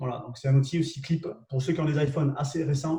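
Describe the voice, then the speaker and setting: A man with a southwestern French accent, fairly high pitch and a dark, mellow tone, somewhat breathy, with fairly even intonation at a fairly quick pace. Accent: southwest French. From southwest France. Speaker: LinkedIn trainer and live show host. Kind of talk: live webinar tutorial. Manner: hesitant, many fillers and repetitions.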